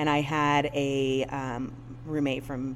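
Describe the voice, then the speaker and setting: A woman with a Chicago accent, with audible room echo. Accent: US Midwest (Chicago region). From Northwest Indiana. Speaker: business owner. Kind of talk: interview conversation. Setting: studio in her float center building. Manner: animated.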